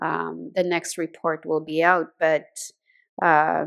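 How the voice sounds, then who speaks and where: A woman's very deep, low voice with a Manitoba accent, monotone and flat, at a very slow pace, on a very clean recording with a silent background. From Canadian prairies, Fishing Lake First Nation, Saskatchewan. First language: Saulteaux. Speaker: university leader and educator. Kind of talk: panel talk. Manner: halting, many fillers.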